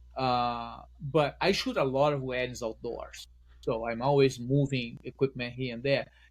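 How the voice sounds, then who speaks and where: With a strong Brazilian accent, a man talks at a fairly slow pace and a medium pitch. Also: fairly even intonation. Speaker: wedding photographer. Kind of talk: podcast interview.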